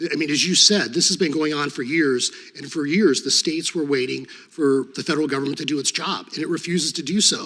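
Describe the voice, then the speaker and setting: Over noticeable background noise, a man talks at a very fast pace with hardly any pauses, fairly even intonation and a fairly high pitch. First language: Serbo-Croatian. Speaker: former state attorney general, hearing witness. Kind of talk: congressional hearing testimony. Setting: committee hearing room.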